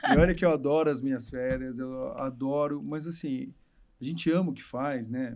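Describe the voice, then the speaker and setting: A man with a fairly high pitch talks at a moderate pace. He has a normal speaking voice with fairly even intonation. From Rio de Janeiro state interior (Barra Mansa). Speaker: obstetrician. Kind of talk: casual chat.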